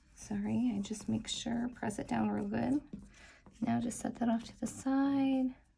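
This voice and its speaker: Soft-spoken, a woman talks at a fairly slow pace. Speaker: crafter. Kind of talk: tutorial.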